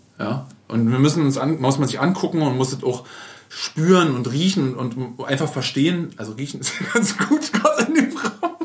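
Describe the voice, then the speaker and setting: Over noticeable background noise, a man talks at a moderate pace, his fairly high pitch rising and falling with lively intonation. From Berlin. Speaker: podcast host, agency owner. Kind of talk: casual chat. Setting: in guest's agency office.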